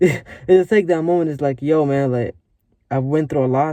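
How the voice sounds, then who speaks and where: Speech runs at a fairly quick pace. Its tone comes across as dark and mellow. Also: man. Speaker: vlogger. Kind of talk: casual motivational vlog talk. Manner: fast; rambling, filler-heavy.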